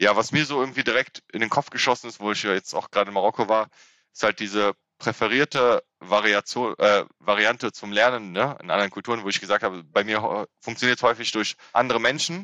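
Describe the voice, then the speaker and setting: A man's medium-pitched voice at a fairly quick pace, bright and sharp in tone, with fairly even intonation, a dry, close sound with no echo and a quiet background. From Germany, Rhineland (Frechen near Cologne). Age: 30s. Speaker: civil servant, intercultural trainer and comedian. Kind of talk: interview.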